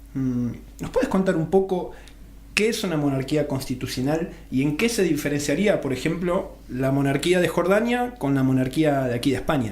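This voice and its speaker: Amid noticeable background noise and audible room echo, a man talks at a moderate pace with a fairly high pitch. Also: lively intonation. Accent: Argentine. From Argentina. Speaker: radio host. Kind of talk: radio interview.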